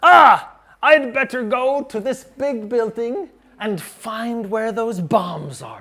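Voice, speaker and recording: At a very slow pace, a man talks in a put-on character voice. His pitch is extremely high. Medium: read story.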